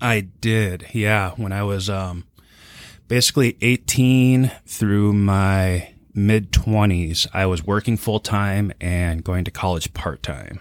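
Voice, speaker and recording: Very slowly, a man with an American accent and a fairly low pitch speaks in a very clean recording with a silent background. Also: ordinary pitch variation. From Minnesota, Minneapolis suburbs. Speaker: war veteran and mental health therapist. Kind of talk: interview.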